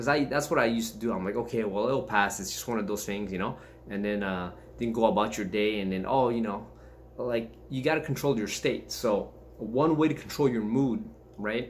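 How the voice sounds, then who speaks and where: A man talks at a fairly quick pace with ordinary pitch variation. Light background noise can be heard. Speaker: martial arts fitness vlogger. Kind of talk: casual vlog chat. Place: home room. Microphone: webcam.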